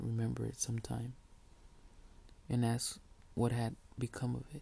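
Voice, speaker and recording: A soft-spoken man. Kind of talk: read story.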